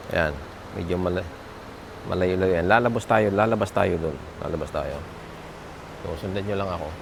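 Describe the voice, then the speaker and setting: Over noticeable background noise and audible room echo, a man with a very deep, low voice talks at a fairly quick pace with fairly even intonation and long, frequent pauses. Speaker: vlogger reviewing gear. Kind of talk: product review tutorial. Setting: outdoors, walking away from camera. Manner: many fillers and hesitations; speaking softly, not shouting.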